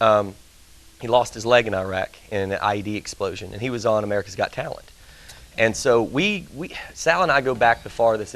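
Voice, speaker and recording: A man speaks with a Southern US accent. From Tennessee, Nashville. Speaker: country singer and Marine veteran. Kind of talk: interview chat. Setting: TV studio, live.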